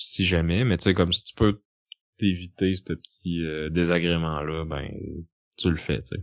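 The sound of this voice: A man speaks at a moderate pace. His pitch is low, with little pitch movement.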